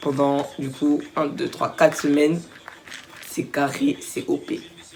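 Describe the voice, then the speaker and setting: A woman speaks with a very deep, low pitch. There is noticeable background noise. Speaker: vlogger. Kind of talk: casual vlog.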